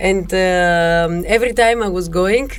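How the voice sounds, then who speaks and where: Heard with audible room echo and noticeable background noise, a woman speaks with a Greek accent. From Greece, Thessaloniki. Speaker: music teacher and musician. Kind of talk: podcast interview. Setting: studio. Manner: halting.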